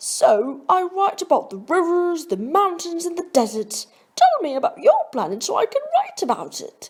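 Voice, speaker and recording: A woman does a put-on character voice with an extremely high pitch and very wide pitch swings, speaking at a moderate pace. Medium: read story.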